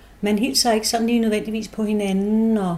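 A woman with a fairly high pitch talks at a fairly quick pace in an ordinary speaking voice. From Denmark, Holbæk (Zealand). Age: 60s. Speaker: Christiania resident. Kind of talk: interview, personal recollection.

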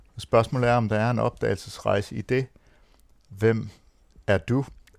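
This man talks at a fairly slow pace. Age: 50s. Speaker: men's centre director. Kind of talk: round-table discussion.

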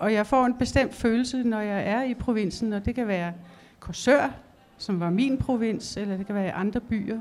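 In a normal speaking voice, a woman talks at a fairly slow pace and a fairly high pitch, with ordinary pitch variation. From Denmark, Fanø (southwest Jutland). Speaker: illustrator. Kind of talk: public conversation on stage. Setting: library stage with audience.

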